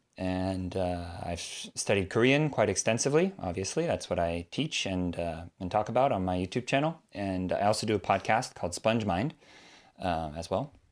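A man with an American accent, fairly low pitch, lively intonation and moderate pace, on a very clean recording with a silent background. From California, US. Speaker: Korean language teacher and YouTuber. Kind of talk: interview.

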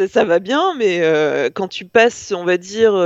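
Fairly slow speech with a dry, close sound and no echo. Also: woman. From northern France, Lille. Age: 30s. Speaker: journalist. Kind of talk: casual chat.

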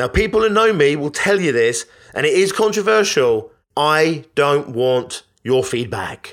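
Lively intonation in a British accent at a fairly slow pace, in a very clean recording with a silent background. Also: man. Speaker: business podcast host and coach. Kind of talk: motivational monologue. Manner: animated.

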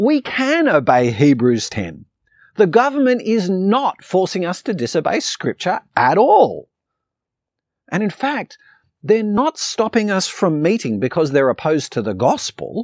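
A man with an Australian accent speaks at a high pitch with very wide pitch swings. His pace is fairly slow and the sound is dry and close with no echo. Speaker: pastor. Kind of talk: sermon. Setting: online church video.

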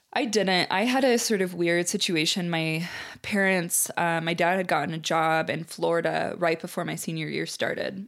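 Recorded very cleanly with a silent background, a woman with an American accent speaks at a fairly low pitch with vocal fry. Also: ordinary pitch variation, moderate pace. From US Midwest (Peoria, Illinois). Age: 30s. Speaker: visual artist. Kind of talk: casual interview.

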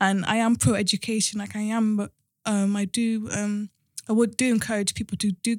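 A woman's medium-pitched, somewhat breathy voice in a flat monotone, dry and close with no echo, on a very clean recording with a silent background. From London and Cardiff, Wales. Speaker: podcast host. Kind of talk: casual interview.

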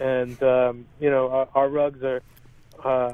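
With an American accent, a man talks in a monotone, flat way. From California. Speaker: journalist. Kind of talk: interview.

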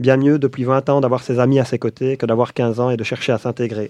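A man with a medium-pitched, dark, mellow voice speaks fairly quickly in a flat monotone. The sound is dry and close with no echo, over a quiet background. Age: 30s. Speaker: youth association coordinator. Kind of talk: reading own text aloud; casual chat.

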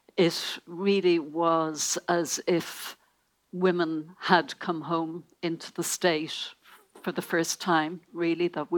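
In an Irish accent, a woman speaks at a very slow pace with a fairly low pitch and monotone, flat intonation. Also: very clean recording, silent background. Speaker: newspaper columnist. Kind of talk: panel discussion.

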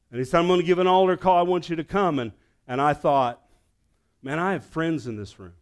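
On a very clean recording with a silent background, a man with a Southern US accent and high pitch speaks at a fairly quick pace, with lively intonation and big swings in loudness. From US South. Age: 60s. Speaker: pastor. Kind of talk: sermon.

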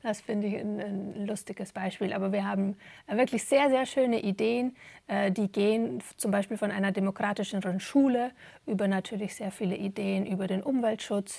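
A woman speaks at a moderate pace in a dark, mellow tone and medium pitch, her intonation fairly even, on a very clean recording with a silent background. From Germany. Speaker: stage actor and dramaturge. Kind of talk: interview. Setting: theatre. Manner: halting, many fillers.

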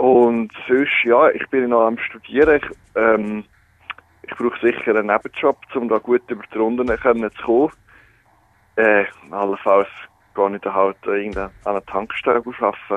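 A man talks at a fairly slow pace, his pitch medium and his intonation fairly even. Long pauses come often. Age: 20s. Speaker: student and radio presenter. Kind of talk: phone interview. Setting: phone call.

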